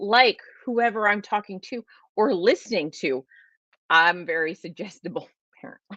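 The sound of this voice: A woman with a Californian accent has a bright, sharp tone and very wide pitch swings. The sound is dry and close with no echo, against a quiet background. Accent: Californian, says "like" a lot.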